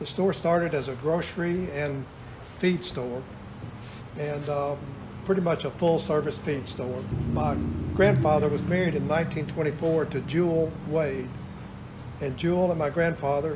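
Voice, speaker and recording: A man with an American accent speaks at a moderate pace in a fairly high pitch. His intonation stays fairly even, and the room echo is audible. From US South. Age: 70s. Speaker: retired store owner. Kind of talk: interview.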